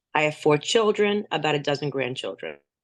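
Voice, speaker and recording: A woman with a New Jersey accent talks at a fairly quick pace. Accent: New Jersey American. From US, New Jersey. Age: 60s. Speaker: native speaker guest. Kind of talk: casual chat. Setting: video call.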